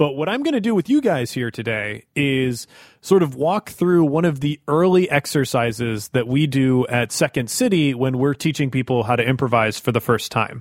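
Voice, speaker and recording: A plain, everyday voice: a man at medium pitch and moderate pace, with ordinary pitch variation and a dry, close sound with no echo. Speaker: improviser and podcast host. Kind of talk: tutorial.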